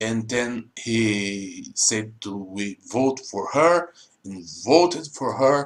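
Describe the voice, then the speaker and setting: Speaking at a very slow pace with a Portuguese accent, the voice has lively intonation. The loudness swings widely. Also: man, medium pitch for a man. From Brazil. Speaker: YouTuber explaining politics. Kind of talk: informal explainer monologue. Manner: halting, non-fluent English.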